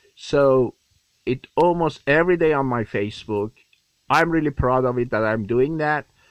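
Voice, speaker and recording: A man with an Iranian accent speaks at a moderate pace in a dry, close sound with no echo. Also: medium pitch for a man, ordinary pitch variation. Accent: Iranian (Persian) English. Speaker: actor. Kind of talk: voicemail message. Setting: phone voicemail.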